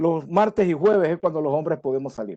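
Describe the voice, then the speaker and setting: Speaking at a moderate pace, a man has a dark, mellow tone and lively intonation. The sound is dry and close with no echo. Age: 60s. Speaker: conference speaker on supply chain. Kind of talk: lecture. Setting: webinar from home.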